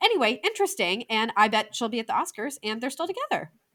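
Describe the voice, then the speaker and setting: A woman speaks with an American accent in a bright, sharp tone at a fairly high pitch. Her pitch swings very widely, in a very clean recording with a silent background. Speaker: film podcast co-host. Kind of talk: casual film review chat.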